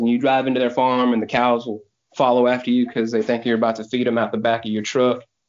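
In a Texan accent, a man talks at medium pitch with monotone, flat intonation. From Houston, Texas. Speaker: barbecue pitmaster. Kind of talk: casual interview chat.

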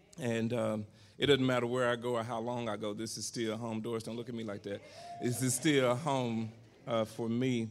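The speech moves at a moderate pace with monotone, flat intonation. Noticeable background noise runs underneath. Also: man, medium pitch for a man. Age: 40s. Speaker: pastor. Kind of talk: sermon.

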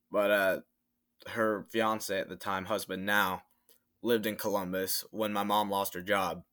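On a very clean recording with a silent background, a man with an American accent speaks at a fairly slow pace and a fairly low pitch, his bright, sharp tone delivered in a flat monotone. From Florida (Tampa). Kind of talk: casual chat.

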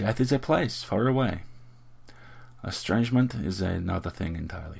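A man in a put-on character voice speaks softly at a moderate pace, his low pitch carrying vocal fry and a slightly mellow tone. His intonation is lively.

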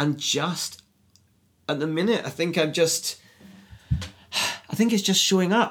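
In an Edinburgh accent, a man with a high voice speaks at a fairly slow pace, using ordinary pitch variation and leaving long, frequent pauses. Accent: Scottish (Edinburgh). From Scotland, Edinburgh. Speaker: screenwriter. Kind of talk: casual interview chat. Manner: halting, many fillers.

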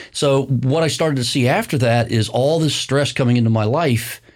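In a very clean recording with a silent background, a man with an American accent and an unremarkable speaking voice talks at a fairly quick pace, medium pitch and fairly even intonation. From US Midwest, Indiana (near Bloomington). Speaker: county commissioner and construction business owner. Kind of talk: interview conversation. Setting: studio.

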